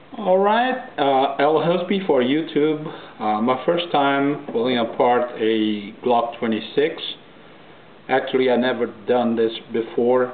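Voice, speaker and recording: Audible room echo surrounds a man speaking at a very slow pace. His voice is medium in pitch with ordinary variation. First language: Portuguese. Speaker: gun hobbyist video maker. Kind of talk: tutorial. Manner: halting.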